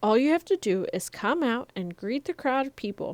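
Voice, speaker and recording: Using a put-on character voice, a woman speaks at a high pitch with very wide pitch swings. Her pace is moderate. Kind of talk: bedtime story. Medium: read story.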